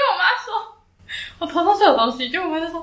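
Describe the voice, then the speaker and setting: A woman speaks in a raised, projected voice at a very fast pace. Her pitch swings very widely, and the room echo is audible. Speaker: podcast co-host, student. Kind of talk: casual chat.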